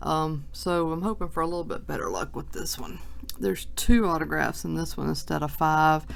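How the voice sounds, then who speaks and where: Audible room echo surrounds the speech. A woman talks at a fairly quick pace. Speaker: sports card collector. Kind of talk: box break video. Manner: casual, chatty.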